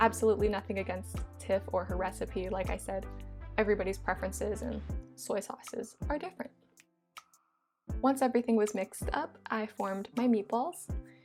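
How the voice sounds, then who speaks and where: Over music in the background, a woman speaks at a fairly quick pace in an upbeat tone, with long, frequent pauses. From Hawaii. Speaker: vegan food YouTuber. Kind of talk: cooking video voice-over. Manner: casual, upbeat.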